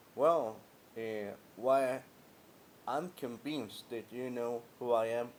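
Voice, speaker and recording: A man speaks with a Spanish accent. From Guatemala. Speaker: vlogger, former customer care agent. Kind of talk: personal monologue vlog. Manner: halting.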